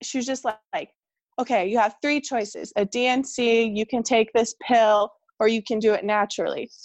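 A normal speaking voice from a woman in an American accent, fairly high-pitched, at a moderate pace with fairly even intonation. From California. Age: 20s. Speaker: podcast guest sharing miscarriage story. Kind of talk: personal testimony in casual interview.

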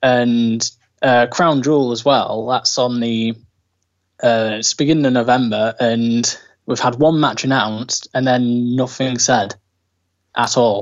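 A man with a British accent speaks at a medium pitch. His pace is fairly slow and his intonation fairly even. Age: 20s. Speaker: wrestling fan. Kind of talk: casual chat.

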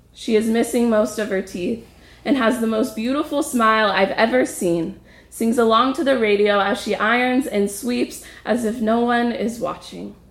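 Her pitch is fairly high, and she speaks at a moderate pace with ordinary pitch variation. The woman has a plain, everyday voice. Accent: American. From US, Ojai, California. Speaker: storyteller, traveler. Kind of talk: personal story performed.

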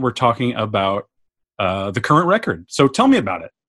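Speaking with an American accent, a man talks at a fairly quick pace. His pitch is medium, and the recording is very clean with a silent background. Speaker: podcast host. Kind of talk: casual interview chat.

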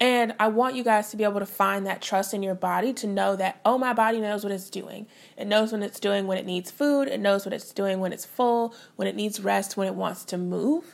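An ordinary speaking voice with an American accent, fairly even intonation and a fairly quick pace. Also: woman, medium pitch for a woman. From US Midwest, St. Louis, Missouri. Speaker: dietitian, podcast host. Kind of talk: solo podcast monologue. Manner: conversational.

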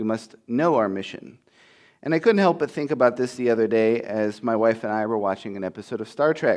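In a quiet background, a man at medium pitch speaks in an unremarkable speaking voice with ordinary pitch variation. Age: 30s. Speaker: pastoral intern preaching. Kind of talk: sermon. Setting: church.

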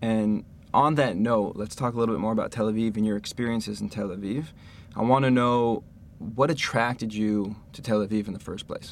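A man with an American accent and a plain, everyday voice, at a fairly quick pace with fairly even intonation, on a very clean recording with a silent background. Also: medium pitch for a man. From Los Angeles, US. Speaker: podcast host. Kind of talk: interview conversation. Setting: studio.

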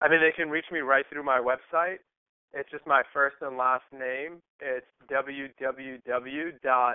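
A man with an American accent speaks very slowly at a fairly high pitch, his intonation fairly even but his loudness swinging widely. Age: 20s. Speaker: entrepreneur. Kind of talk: interview. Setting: phone call.

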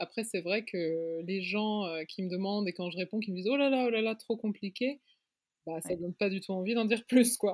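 A woman with a normal speaking voice talks at medium pitch and a moderate pace, with a dry, close sound with no echo in a very clean recording with a silent background. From Luxembourg. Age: 20s. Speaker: fashion designer and magazine founder. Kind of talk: casual interview.

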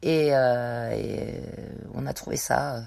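This woman's voice is pitched very deep and low. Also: very clean recording, silent background. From Savoie, French Alps. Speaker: goat farmer and cheesemaker. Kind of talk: interview. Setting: on a farm. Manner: hesitant, with many fillers.

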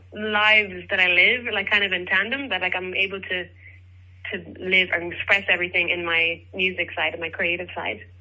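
In an Irish accent, a woman speaks at medium pitch and a moderate pace with ordinary pitch variation. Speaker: singer-songwriter and teacher. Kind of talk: interview.

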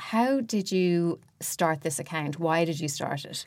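On a very clean recording with a silent background, a woman with an Irish accent speaks at a fairly low pitch and a fairly slow pace. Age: 40s. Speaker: fashion director and podcast host. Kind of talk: casual chat and interview.

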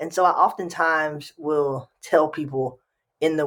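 Animated, fairly high-pitched male voice with an American accent. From Texas, Houston area. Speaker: leadership and anti-racism trainer. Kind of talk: interview. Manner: high-energy, animated.

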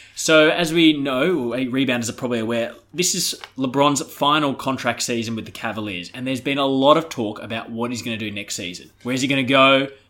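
A man at a medium pitch, fairly quick pace and hardly any pauses, with noticeable background noise. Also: ordinary pitch variation. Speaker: podcast host. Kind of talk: comedic sports podcast banter.

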